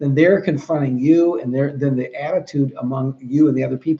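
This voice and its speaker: A man speaks in an American accent with a fairly high pitch. His pace is fairly quick. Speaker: trainer for 911 dispatchers. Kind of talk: training talk. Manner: fast.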